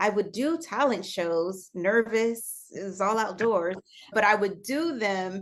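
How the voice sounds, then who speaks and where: A woman with a medium pitch and ordinary pitch variation speaks at a very slow pace. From US Midwest, Chicago. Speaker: singer and actress. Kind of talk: interview. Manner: casual.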